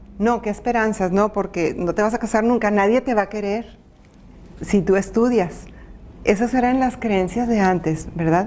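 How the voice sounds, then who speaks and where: The delivery is a normal speaking voice at a moderate pace. Intonation stays fairly even. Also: woman, fairly high pitch for a woman. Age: 60s. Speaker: women's advocate and former city councillor. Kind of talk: interview.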